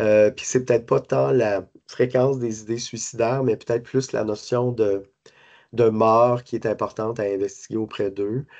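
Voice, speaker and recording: Against a quiet background, a man talks at a fairly slow pace. His pitch is medium and his intonation fairly even. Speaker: suicide prevention service coordinator. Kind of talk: lecture. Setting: conference talk to hospital staff. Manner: halting, many fillers and repetitions.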